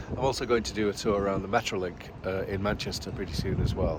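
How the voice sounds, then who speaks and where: Background noise is clearly noticeable. A man talks through it. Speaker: YouTuber, railway video presenter. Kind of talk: casual talk to camera.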